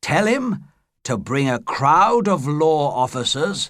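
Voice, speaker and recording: A man puts on a character voice, fairly high in pitch and delivered at a very slow pace. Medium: read story.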